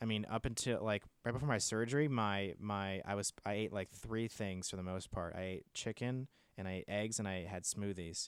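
A man with an American accent and a plain, everyday voice, fairly low pitch, fairly even intonation and a moderate pace, in a very clean recording with a silent background and a dry, close sound with no echo. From Washington state, US. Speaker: comedian and writer. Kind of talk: casual chat.

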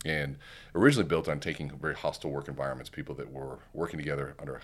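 Using vocal fry, a man talks at a very fast pace in a very deep, low pitch with fairly even intonation. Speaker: keynote speaker and sales coach. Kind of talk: casual interview chat.

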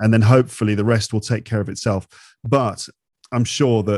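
A man speaks in a British accent at a fairly low pitch with a dark, mellow tone and fairly even intonation. The sound is dry and close with no echo, on a very clean recording with a silent background. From England. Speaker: English-teaching podcaster. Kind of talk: casual interview.

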